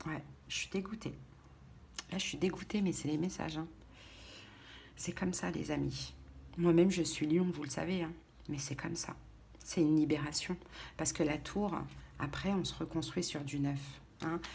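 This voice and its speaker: A soft-spoken woman with a very deep, low pitch and vocal fry talks with fairly even intonation and long, frequent pauses. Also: moderate pace. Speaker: tarot reader. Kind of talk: tarot reading. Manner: halting.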